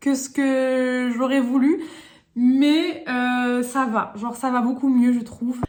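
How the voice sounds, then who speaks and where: The woman's voice sits high in pitch. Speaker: lifestyle vlogger. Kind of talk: casual vlog talk to camera. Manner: fast; hesitant, many fillers.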